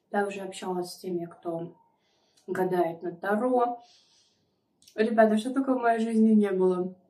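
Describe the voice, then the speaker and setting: Pitch variation is ordinary for this woman. She talks at a fairly slow pace. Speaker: mukbang vlogger. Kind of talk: casual vlog chat. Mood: chatty, confiding. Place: home room. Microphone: phone near.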